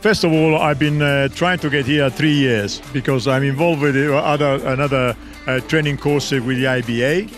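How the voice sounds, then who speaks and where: Over clear background music, a man speaks with ordinary pitch variation in a dry sound with no echo. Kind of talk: interview answer. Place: street. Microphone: handheld.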